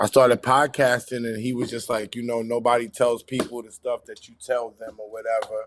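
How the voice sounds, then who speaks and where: A man with a New York accent speaks at a fairly quick pace in a medium pitch, his intonation monotone and flat, his loudness swinging widely and hardly any pauses breaking it up. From New York City (Queens). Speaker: music industry manager and podcaster. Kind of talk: casual chat.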